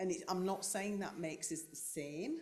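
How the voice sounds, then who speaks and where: A woman talks at a fairly slow pace in a Yorkshire accent. Audible room echo surrounds her voice. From North Yorkshire, England. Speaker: carer of brain-injured partner, clinician. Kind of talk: panel discussion.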